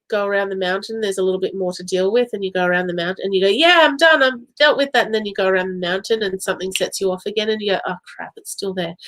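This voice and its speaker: A woman speaks very fast with hardly any pauses. Her voice is fairly high. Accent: slight Australian. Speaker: psychic medium. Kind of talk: live-stream psychic reading. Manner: casual, chatty with fillers.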